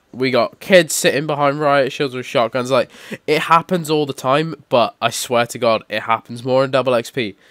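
A man's medium-pitched voice in a British accent, with fairly even intonation. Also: moderate pace. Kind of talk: gaming commentary. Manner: casual, rambling.

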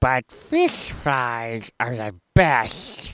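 This cartoonish character voice sounds female and sits at a very deep, low pitch for a woman. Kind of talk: deadpan comic cartoon acting. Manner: terse, flat, deadpan.

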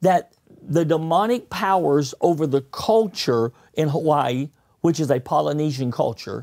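At a moderate pace, a man speaks in a fairly high voice with lively intonation. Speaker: pastor. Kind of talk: sermon-style teaching with interpreter. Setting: studio. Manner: speaks in short segments. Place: studio. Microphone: lapel.

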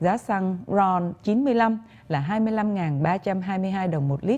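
Her voice has a dark, mellow tone and is somewhat breathy. The woman's intonation is lively. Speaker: news anchor. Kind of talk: news reading. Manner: formal. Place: studio. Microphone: lapel.

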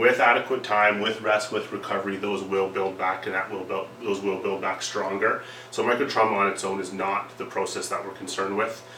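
A man talks at a fairly quick pace with hardly any pauses, in a fairly low pitch and monotone, flat intonation. Light background noise and audible room echo can be heard. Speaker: workplace safety trainer. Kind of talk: lecture. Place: meeting room. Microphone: camera far.

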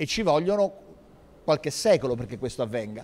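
A man has an unremarkable speaking voice. He talks at a fairly quick pace with a fairly high pitch. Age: 50s. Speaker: historian and city culture official; speaker. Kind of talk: panel discussion. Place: hall. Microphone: handheld.

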